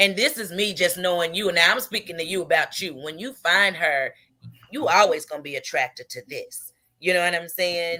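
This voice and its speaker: Her tone bright and sharp, a woman speaks at medium pitch. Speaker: radio show host. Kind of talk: casual chat. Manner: loud.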